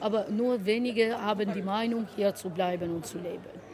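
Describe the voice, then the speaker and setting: Someone speaks with an Albanian accent at a fairly slow pace over noticeable background noise. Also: woman. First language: Albanian (speaking German). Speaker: vocational school teacher. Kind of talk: interview.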